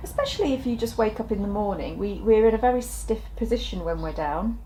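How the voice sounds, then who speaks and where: Over noticeable background noise, a woman speaks very fast. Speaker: wellness instructor. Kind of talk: guided exercise tutorial.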